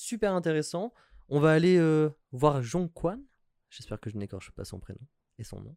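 A man with a fairly high pitch speaks at a moderate pace in a dry, close sound with no echo, his pitch swinging very widely and his loudness rising and falling sharply between long, frequent pauses. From France, Metz. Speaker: podcast guest. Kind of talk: casual chat.

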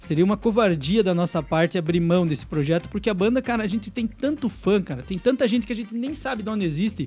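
A man talking at a very fast pace, high-pitched for a man, with lively intonation and music in the background. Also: hardly any pauses. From southwest Paraná, Brazil (Francisco Beltrão). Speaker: rock band singer. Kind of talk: casual radio interview. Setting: radio studio, live. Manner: blunt, rough way of talking.

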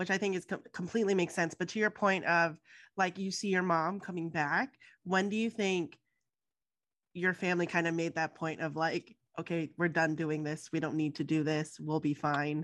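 Against a quiet background, a woman with an unremarkable speaking voice talks at a moderate pace, her fairly low pitch held in fairly even intonation. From US, near the Mexican border. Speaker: podcast host. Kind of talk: interview.

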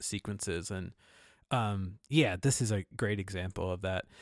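Here a man has an unremarkable speaking voice with ordinary pitch variation at a moderate pace. The recording is very clean with a silent background, dry and close, with no echo. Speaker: podcast host. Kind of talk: casual podcast discussion of films.

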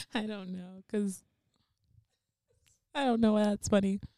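Her tone is dark and mellow as the woman speaks at a moderate pace. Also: long, frequent pauses. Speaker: podcast host. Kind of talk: casual chat. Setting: in the guest's living room. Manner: laughing often.

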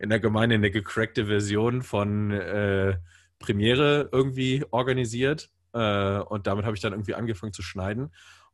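This man's voice is fairly low in pitch, with ordinary pitch variation. It is a normal speaking voice. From northern Germany, Bremen. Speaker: church media producer. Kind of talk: casual interview. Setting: video call.

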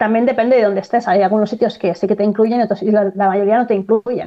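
Delivery comes at a very fast pace with fairly even intonation. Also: woman. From Spain, Barcelona (Catalonia). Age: 30s. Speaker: dancer. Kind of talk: casual chat.

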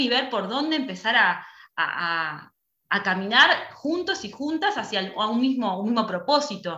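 A woman speaks fairly slowly with lively intonation and a fairly high pitch. Her tone is bright and sharp, and the room echo is audible. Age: young. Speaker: theatre school director. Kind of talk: casual chat. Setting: video call.

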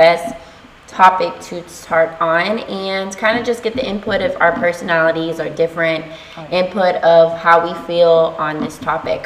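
A woman talking in an American accent is heard over noticeable background noise. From Texas. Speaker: podcast host. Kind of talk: casual chat.

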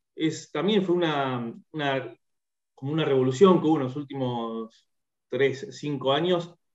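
Here a man speaks at a fairly slow pace. His fairly high voice shows ordinary pitch variation. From Argentina, Bahía Blanca. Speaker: singer-songwriter. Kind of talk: interview. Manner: halting, many repetitions and fillers.

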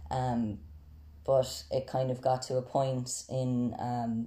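A dark, mellow tone with a Tipperary accent and fairly even intonation. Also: man. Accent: Irish, Tipperary. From South Tipperary, Ireland. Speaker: university student. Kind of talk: casual interview.

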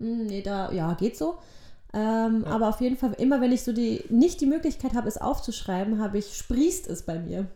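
At a moderate pace, a woman with a fairly high pitch and a dark, mellow tone makes very wide pitch swings. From Germany (born in Poland, moved at age one). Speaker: actress and theatre educator, podcast co-host. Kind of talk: casual chat. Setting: studio-like home recording, sitting opposite co-host.

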